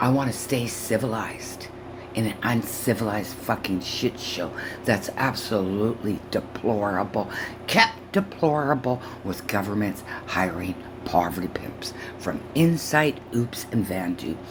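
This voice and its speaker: A woman with a very deep, low pitch speaks at a fairly slow pace with lively intonation over noticeable background noise. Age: 60s. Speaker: YouTuber reacting to a video. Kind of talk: reaction commentary rant. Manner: animated.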